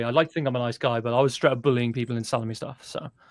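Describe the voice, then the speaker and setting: This is a man speaking. He has a British accent. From Britain. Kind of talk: casual chat.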